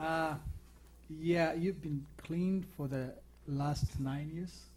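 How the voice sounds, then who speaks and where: In an African accent, a man with a fairly high, somewhat breathy voice talks very slowly. He leaves long, frequent pauses. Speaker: TV talk show host. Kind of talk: interview. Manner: halting.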